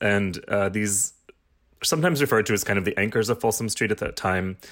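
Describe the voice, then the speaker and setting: A man at medium pitch and a fairly quick pace, a normal speaking voice, on a very clean recording with a silent background. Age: 40s. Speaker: podcast host. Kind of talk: casual interview chat.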